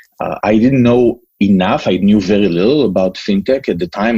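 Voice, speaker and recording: With an Israeli accent, a man with a fairly low pitch and a dark, mellow tone speaks at a moderate pace with ordinary pitch variation. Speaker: entrepreneur. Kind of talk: interview. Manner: hesitant, many fillers.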